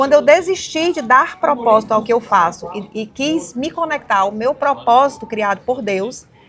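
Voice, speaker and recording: Lively intonation with hardly any pauses, in a northeastern Brazilian accent. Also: woman, high pitch for a woman. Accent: northeastern Brazilian, kept. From Brazil, Ceará (Fortaleza). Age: 40s. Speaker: women's mentor and entrepreneur. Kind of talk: podcast interview. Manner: fast.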